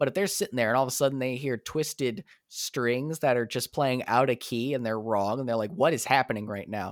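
In a normal speaking voice, a man of medium pitch talks at a fairly quick pace with hardly any pauses and ordinary pitch variation, recorded dry and close with no echo, very clean, with a silent background. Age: 30s. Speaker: composer and dungeon master. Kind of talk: casual chat.

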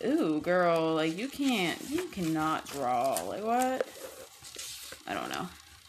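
Through audible room echo, a woman speaks at a very slow pace with long, frequent pauses, her medium pitch swinging very widely. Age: 20s. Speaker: podcast host. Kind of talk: casual chat. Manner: rambling, filler-heavy.

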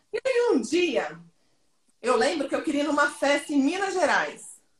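A woman's animated, high-pitched voice with ordinary pitch variation. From Brazil, Goiânia. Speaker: sales entrepreneur and consultant. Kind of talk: casual interview on live stream.

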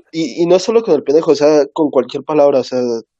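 Using an unremarkable speaking voice, a man talks at a fairly high pitch with ordinary pitch variation. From Mexico, Oaxaca. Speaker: podcast co-host. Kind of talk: casual chat.

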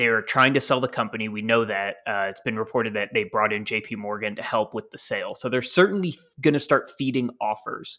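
A man speaks in a normal speaking voice at medium pitch. The recording is very clean, with a silent background. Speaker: wrestling podcast co-host. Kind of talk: casual chat.

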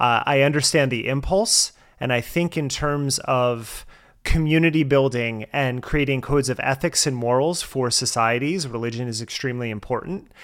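A man with an American accent speaks at a moderate pace and medium pitch, with ordinary pitch variation. He has an ordinary speaking voice. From US, New Jersey. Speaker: podcast host, guest. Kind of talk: interview conversation. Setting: remote call.

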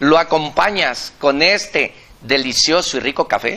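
A man's fairly high voice with a Mexican accent, at a fairly slow pace. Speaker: business coach and live-stream host. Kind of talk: live-streamed interview show. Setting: café. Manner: animated.

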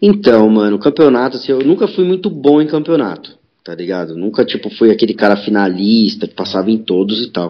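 A man of medium pitch talks with very wide pitch swings and hardly any pauses. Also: fairly quick pace, big swings in loudness. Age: 30s. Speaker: skateboarder and skate teacher. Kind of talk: casual chat.

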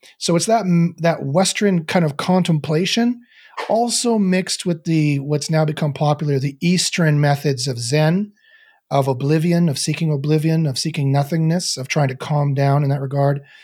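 On a very clean recording with a silent background, a man with a Canadian accent speaks at a moderate pace, fairly high pitch, and ordinary pitch variation. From Canada. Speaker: neuroscientist and meditation teacher. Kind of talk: casual interview conversation. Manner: halting, many fillers and repetitions.

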